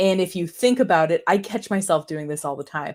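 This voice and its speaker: On a very clean recording with a silent background, the speech carries lively intonation. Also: woman. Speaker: marketing consultant and live stream host. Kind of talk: tutorial. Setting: live stream. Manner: fast.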